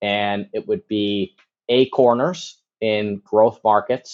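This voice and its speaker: An ordinary speaking voice from a man with an American accent, a fairly low pitch and fairly even intonation. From US Midwest, Chicago. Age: 30s. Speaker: commercial real estate broker. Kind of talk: podcast interview.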